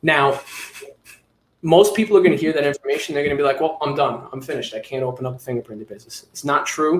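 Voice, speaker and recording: A man's fairly high-pitched voice with a New York accent. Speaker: fingerprinting business owner, trainer. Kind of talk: webinar training talk.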